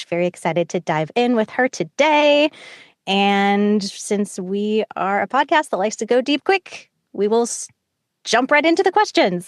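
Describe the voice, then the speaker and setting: A woman with an ordinary speaking voice talks at a fairly high pitch with lively intonation. The sound is dry and close, with no echo. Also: moderate pace, quiet background. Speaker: podcast host. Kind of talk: podcast interview question.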